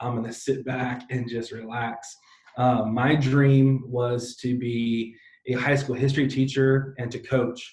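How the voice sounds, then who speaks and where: Speaking at a fairly slow pace with an American accent, a man uses a medium-pitched, somewhat breathy voice. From San Diego, California. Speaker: pastor. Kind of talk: interview. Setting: live stream. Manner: animated.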